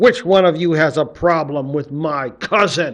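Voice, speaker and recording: Putting on a growling character voice, a man speaks at a moderate pace with a fairly high pitch. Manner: growling, threatening.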